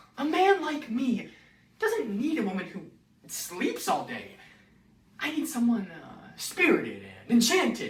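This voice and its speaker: Using a put-on character voice at a high pitch, a woman speaks at a fairly slow pace with very wide pitch swings, long, frequent pauses and a slight echo. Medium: audio drama. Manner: drowsy, hesitant.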